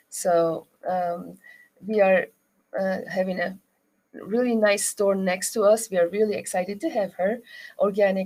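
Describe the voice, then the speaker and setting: The speaker has a Turkish accent and a dark, mellow tone, moving at a fairly slow pace with fairly even intonation and long, frequent pauses. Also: woman. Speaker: rug shop owner. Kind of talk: interview. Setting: studio. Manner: halting.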